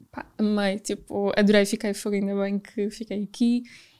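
Captured in a very clean recording with a silent background, a woman with a fairly high pitch and dark, mellow tone talks at a moderate pace. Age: 20s. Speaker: travel influencer. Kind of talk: casual chat.

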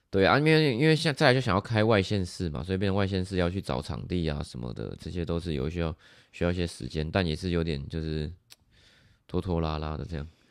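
A man's very deep, low voice at a very fast pace, with lively intonation. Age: 20s. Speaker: fitness coach. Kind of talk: casual chat.

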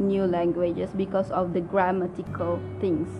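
A woman speaks at a medium pitch with a Malaysian accent, fairly slowly and in a flat monotone, over noticeable background noise. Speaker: language learning podcaster. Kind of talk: solo talk tutorial. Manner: halting, many fillers.

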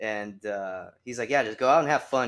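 On a very clean recording, a man talks against a silent background. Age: 20s. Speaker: independent wrestler. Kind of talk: casual chat. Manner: laughs often.

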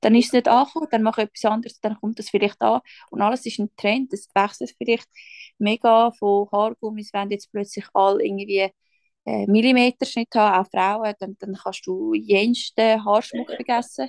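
An ordinary speaking voice from a woman, fairly high in pitch with ordinary variation, at a moderate pace, dry and close with no echo. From Switzerland. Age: 20s. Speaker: social worker and small business founder. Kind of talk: casual chat.

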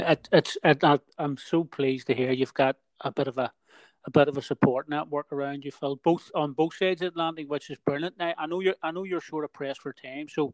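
At a fairly quick pace, a man with a fairly high pitch talks in an ordinary speaking voice with fairly even intonation, the sound dry and close with no echo. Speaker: podcast host. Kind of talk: interview conversation.

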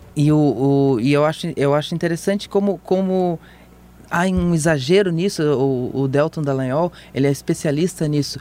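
A man at a moderate pace, with very even loudness and ordinary pitch variation. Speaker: political journalist and podcast host. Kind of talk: casual chat. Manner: halting, many repetitions.

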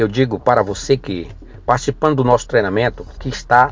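Somewhat breathy and medium in pitch, a man's voice shows ordinary pitch variation. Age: 50s. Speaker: business consultant. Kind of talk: sales pitch.

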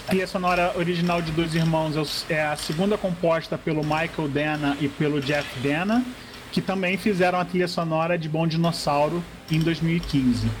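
A man speaks in a high voice at a moderate pace. His intonation is fairly even, and background noise is noticeable. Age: 40s. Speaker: graphic designer and film blogger. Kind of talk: reading aloud; casual chat.

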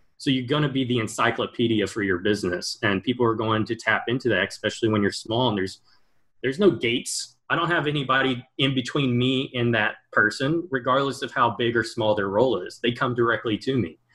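At a fairly quick pace, a man speaks in an ordinary speaking voice of medium pitch with ordinary pitch variation. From Texas, Houston area. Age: 20s. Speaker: gaming startup founder. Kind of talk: interview.

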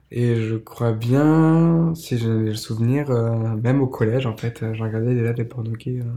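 This man is soft-spoken, with a dark, mellow tone and fairly even intonation, talking at a fairly slow pace. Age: 20s. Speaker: podcast guest. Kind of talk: testimony. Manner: halting.

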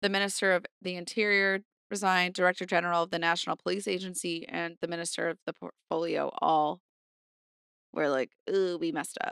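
A woman with a fairly low pitch and fairly even intonation talks in an unremarkable speaking voice, recorded with a dry, close sound and no echo. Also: very clean recording, silent background. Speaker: podcast co-host. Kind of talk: casual chat.

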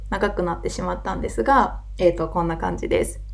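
Noticeable background noise accompanies talking that runs at a fairly quick pace. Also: woman. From Wakayama, Japan. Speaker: podcast host and yoga teacher. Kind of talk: casual monologue.

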